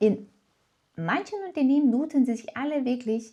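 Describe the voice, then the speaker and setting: Speaking fairly slowly with a non-native accent, a woman uses a high pitch and a dark, mellow tone. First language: not German (speaking German). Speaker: German teacher and office worker. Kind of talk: tutorial. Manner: casual, with filler words.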